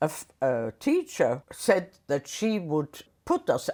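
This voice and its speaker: A woman speaks with a German accent. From Austria. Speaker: war survivor. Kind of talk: interview answer. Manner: reflective, hesitant.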